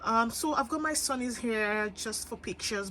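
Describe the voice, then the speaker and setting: Here a woman's voice sits at a fairly high pitch. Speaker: fashion influencer. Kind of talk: closet tour vlog. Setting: home closet room. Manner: hesitant fillers.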